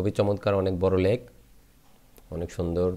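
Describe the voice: Speaking at a fairly slow pace, a man with a low pitch and a dark, mellow tone shows little pitch movement.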